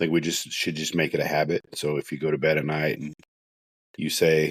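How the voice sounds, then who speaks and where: A man is speaking. He mumbles. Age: 40s. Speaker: podcast host, first responder. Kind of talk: solo podcast monologue. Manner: mumbling; casual, conversational.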